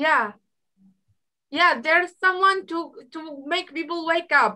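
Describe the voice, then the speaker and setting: In a raised, projected voice, someone with an Arabic accent speaks at a very slow pace. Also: woman, extremely high pitch for a woman, ordinary pitch variation, big swings in loudness. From Iraq. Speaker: guest speaker on culture. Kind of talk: online group chat. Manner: halting.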